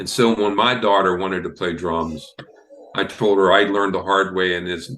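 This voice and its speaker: Amid noticeable background noise, a man with an American accent speaks at a moderate pace in a very deep, low pitch and fairly even intonation. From western Pennsylvania (Beaver County, Ambridge). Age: 70s. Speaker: drummer and music teacher. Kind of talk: casual interview. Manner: halting, with frequent fillers.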